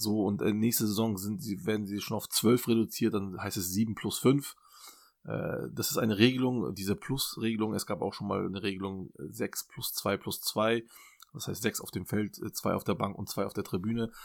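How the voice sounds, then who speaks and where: A man's fairly low voice moves through ordinary pitch variation. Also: moderate pace. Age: 40s. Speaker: football data analyst. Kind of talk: casual chat. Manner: halting.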